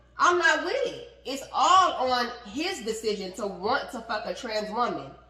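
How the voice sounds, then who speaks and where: With noticeable background noise and audible room echo, a woman talks in an animated tone at a high pitch with very wide pitch swings. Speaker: podcast co-host. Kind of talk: heated debate. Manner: fast.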